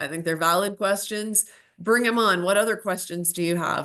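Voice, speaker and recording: The woman's pitch varies in an ordinary way. Nothing can be heard behind her. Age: 50s. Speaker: bitcoin educator and channel host. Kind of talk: casual monologue.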